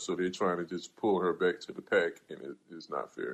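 With an American accent, a man speaks at a moderate pace. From South Carolina. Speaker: podcast host. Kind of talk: casual panel discussion. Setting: live audio stage.

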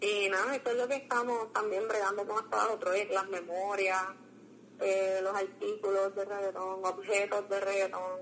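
The speaker has a Puerto Rican accent and fairly even intonation. Loudness stays very even throughout. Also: woman. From Puerto Rico, Las Piedras. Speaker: graduate student and cultural archive founder. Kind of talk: casual interview.

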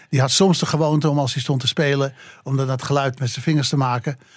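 The voice is somewhat breathy, moving at a fairly quick pace with monotone, flat intonation. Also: man. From Amsterdam, Netherlands. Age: 80s+. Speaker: jazz journalist. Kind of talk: interview. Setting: studio.

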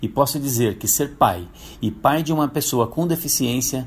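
Here a man talks at medium pitch and a moderate pace. His voice is somewhat breathy, with ordinary pitch variation. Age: 50s. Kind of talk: prepared testimony. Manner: formal.

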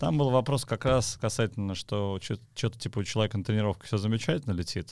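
A man talks at a very fast pace. His voice sits fairly low, with ordinary pitch variation. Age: 40s. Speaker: podcast host, tennis community founder. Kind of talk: casual chat. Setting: studio.

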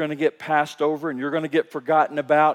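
A man with a Kentucky accent, fairly high pitch and fairly quick pace. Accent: Kentucky Southern American. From US South, Kentucky. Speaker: pastor. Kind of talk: sermon. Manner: halting.

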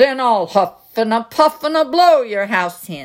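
A woman growls in a put-on character voice, fairly high and fairly slow, on a very clean recording with a silent background. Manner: growling, threatening.

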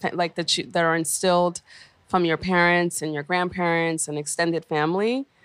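In a very clean recording with a silent background, a woman with a New York accent speaks at a moderate pace, her fairly low pitch held to a fairly even intonation. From New York City, Brooklyn. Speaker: founder of a cultural venture. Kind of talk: interview. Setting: radio studio.

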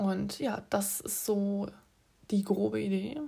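A woman speaks at a medium pitch with a somewhat breathy, dark, mellow tone. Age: 20s. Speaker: podcast host, film student. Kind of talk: casual solo podcast monologue. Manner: chatty, many filler sounds.

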